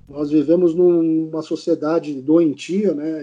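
A man's fairly high pitched voice with a dark, mellow tone over a quiet background. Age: 40s. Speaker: criminal lawyer. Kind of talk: testimony.

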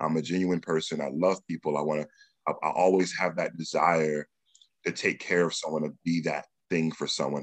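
Speaking at a fairly quick pace, a man with a very deep, low pitch keeps a monotone, flat intonation. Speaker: podcast host. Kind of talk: casual chat.

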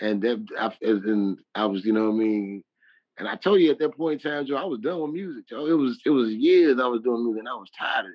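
A man's medium-pitched voice with lively intonation, big swings in loudness and a fairly quick pace. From Chicago. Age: 30s. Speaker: rapper. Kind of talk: casual interview.

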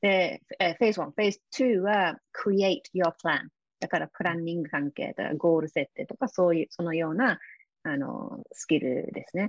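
A fairly low-voiced woman with an English accent, lively intonation and a moderate pace against a quiet background. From UK. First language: English (speaking Japanese). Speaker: success coach and author. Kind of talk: interview. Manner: halting, many fillers.

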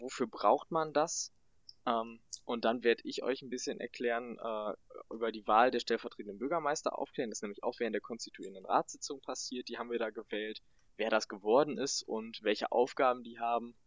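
This man's loudness swings widely as he talks at a fairly quick pace. His pitch is medium and his intonation fairly even. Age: young. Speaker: local councillor, volunteer. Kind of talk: explainer podcast chat. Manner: halting, many fillers.

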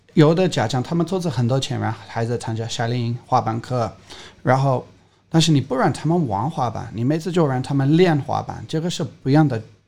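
The recording is very clean, with a silent background. The speaker talks at a fairly quick pace with ordinary pitch variation. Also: man, medium pitch for a man. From England. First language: English (speaking Chinese). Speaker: skateboarding coach. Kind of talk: casual interview.

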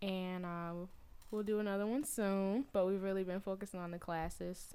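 In a Southern US accent, a woman speaks at a moderate pace. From US South, Atlanta. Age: 20s. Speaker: praise mime and arts school founder. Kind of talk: casual chat.

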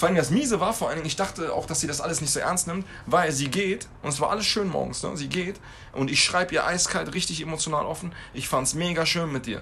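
Over noticeable background noise, a man speaks very fast at a high pitch with ordinary variation. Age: 30s. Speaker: podcast co-host. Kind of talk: casual chat.

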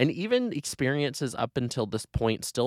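A man talks at a moderate pace in a very clean recording with a silent background and a dry, close sound with no echo. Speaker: podcast host. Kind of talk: solo podcast monologue, casual. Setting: home recording, headphones on. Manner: casual, chatty, animated.

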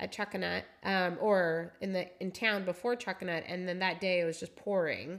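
A plain, everyday voice from a woman with an American accent, medium pitch and fairly even intonation, at a moderate pace with hardly any pauses, in a very clean recording with a silent background. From Seattle. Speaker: amateur trail runner, host's wife. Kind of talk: casual chat.

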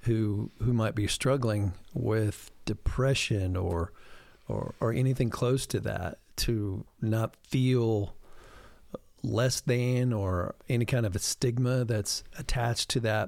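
A man talks at a very slow pace in a medium pitch, with ordinary pitch variation and very even loudness. The recording is very clean, with a silent background. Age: 50s. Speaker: pastor. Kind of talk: casual chat.

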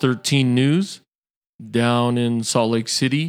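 Over a silent background on a very clean recording, a man talks at a very slow pace with an American accent. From Utah, Samoan family. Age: 30s. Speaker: former power lineman, injury survivor. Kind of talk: interview testimony.

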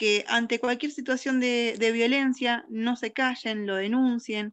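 A woman's high-pitched voice at a very slow pace. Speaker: teacher and radio host. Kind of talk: educational radio chat.

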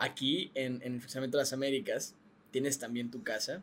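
A man speaks at a moderate pace with a Mexican accent. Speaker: podcast co-host. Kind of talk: casual chat.

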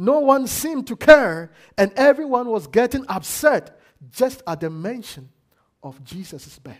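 A man's extremely high-pitched, animated voice with very wide pitch swings at a fairly slow pace. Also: very clean recording, silent background. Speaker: guest preacher. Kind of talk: sermon. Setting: church. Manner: animated, call-and-response.

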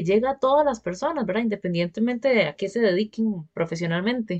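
A woman with a normal speaking voice talks at a fairly quick pace with hardly any pauses, using a fairly high pitch and lively intonation. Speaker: podcast host. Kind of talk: interview.

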